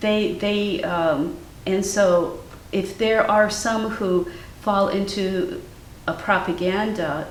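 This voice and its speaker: With fairly even intonation and a medium pitch, a woman speaks at a very slow pace amid noticeable background noise and audible room echo. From US Midwest, Cleveland, Ohio. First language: Ukrainian. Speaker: artist. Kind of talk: interview conversation. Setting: artist's studio.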